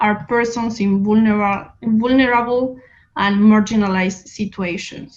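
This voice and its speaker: Speaking at a moderate pace with a Spanish accent, a woman sounds somewhat breathy and keeps her intonation fairly even. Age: young. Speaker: activist, NGO director. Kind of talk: reading a prepared speech.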